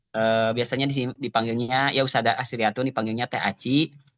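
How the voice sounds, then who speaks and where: A man's medium-pitched voice, bright and sharp in tone, with fairly even intonation, dry and close with no echo against a quiet background. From West Java (Sunda), Cimahi. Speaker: Quran teacher. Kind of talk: online interview. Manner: hesitant, filler-heavy.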